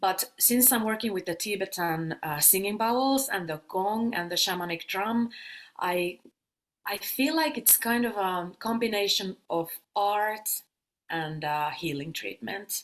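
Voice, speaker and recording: At a fairly slow pace, a woman speaks with a non-native accent. Her pitch sits in the medium range and her intonation is lively. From Finland. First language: Finnish. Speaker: sound healer and yoga teacher. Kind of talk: casual interview.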